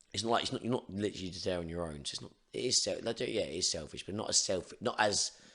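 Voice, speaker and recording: With an English accent, a man speaks at a very fast pace in a fairly low pitch, his tone bright and sharp, with hardly any pauses. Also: ordinary pitch variation. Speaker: Muay Thai coach. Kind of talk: casual chat. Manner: can't shout loud.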